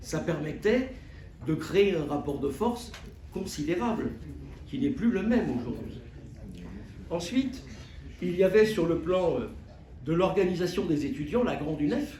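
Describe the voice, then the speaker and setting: Long, frequent pauses break up this fairly slow delivery, which has very wide pitch swings and audible room echo. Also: man, high pitch for a man. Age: 70s. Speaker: trade union activist. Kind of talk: closing remarks at a public debate. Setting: conference hall with audience. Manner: hesitant, with many fillers.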